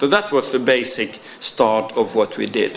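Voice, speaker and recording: Noticeable background noise and audible room echo surround a fairly slow speaker. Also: man. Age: 60s. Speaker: former police officer and trainer. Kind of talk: conference presentation. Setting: round table in parliament. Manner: halting.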